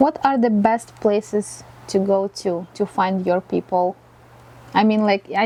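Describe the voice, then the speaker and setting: A woman with a non-native accent speaks in a dark, mellow tone, and the sound is dry and close with no echo. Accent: foreign. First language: not English; English is her fourth language. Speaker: interview show host. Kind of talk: interview. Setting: studio.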